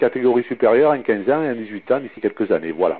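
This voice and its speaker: A man with a medium pitch speaks with lively intonation. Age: 60s. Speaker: youth football coach and club secretary. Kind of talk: interview. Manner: hesitant, many fillers.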